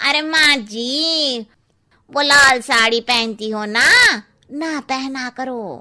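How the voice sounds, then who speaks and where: In a cartoonish character voice, a woman speaks at a high pitch and a very slow pace. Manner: blunt, cheeky.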